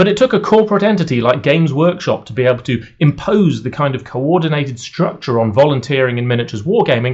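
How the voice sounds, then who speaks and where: This man with a British accent speaks very fast in a fairly high, somewhat breathy voice. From United Kingdom. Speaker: wargaming commentator, YouTuber. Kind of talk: scripted video essay.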